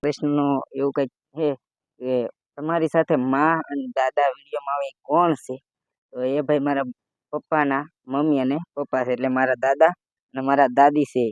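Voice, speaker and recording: The intonation is monotone and flat, and the sound is dry and close, with no echo. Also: man, fairly high pitch for a man. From Gujarat, Botad district village. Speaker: vlogger. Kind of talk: casual Q&A vlog.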